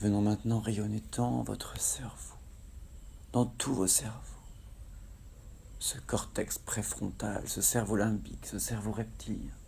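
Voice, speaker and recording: A man's calm, soothing tone at a very slow pace, broken by long, frequent pauses. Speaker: hypnotherapist guiding a relaxation session. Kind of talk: guided hypnosis relaxation. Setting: recorded outdoors in tropical nature in Kerala, India, with nature sounds. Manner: slow, calm, soothing.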